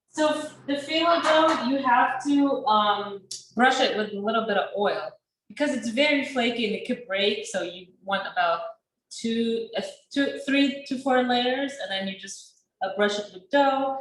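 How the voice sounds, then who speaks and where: With a high pitch and lively intonation, a woman speaks at a fairly slow pace amid audible room echo. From Sudan. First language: not English. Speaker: chef and small business owner. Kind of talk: cooking class.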